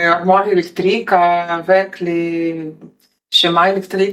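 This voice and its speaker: The voice is a woman's, with a medium pitch. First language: not French, learner of French (speaking French). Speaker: vocational trainee. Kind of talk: interview. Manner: halting, searching for words.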